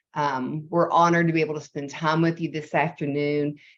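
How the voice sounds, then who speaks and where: A woman with a Southern US accent speaks in a very deep, low pitch. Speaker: nonprofit executive. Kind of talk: presentation. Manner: slow.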